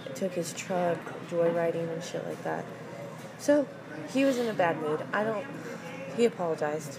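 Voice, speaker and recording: A woman speaks at a moderate pace in a fairly low pitch with lively intonation and long, frequent pauses, amid audible room echo and noticeable background noise. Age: 20s. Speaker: podcast guest. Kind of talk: casual chat.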